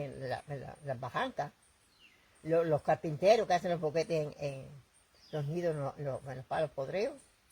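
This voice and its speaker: A woman's somewhat breathy, dark and mellow voice, very deep and low in pitch, with lively intonation at a moderate pace. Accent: Puerto Rican. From Puerto Rico. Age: 80s+. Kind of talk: interview answer.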